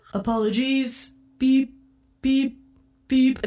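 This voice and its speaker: A woman puts on a character voice that sounds robotic. Her pitch sits high. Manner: polite, formal.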